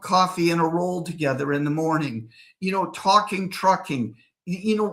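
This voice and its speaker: A high-pitched man speaks in a bright, sharp, animated tone. The recording is very clean with a silent background. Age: 60s. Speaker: real estate developer. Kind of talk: interview.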